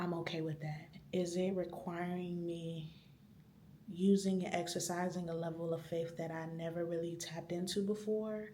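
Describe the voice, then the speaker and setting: Whispering at a moderate pace, a woman is heard with noticeable background noise and audible room echo. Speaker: vlogger. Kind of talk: vlog monologue. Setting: library.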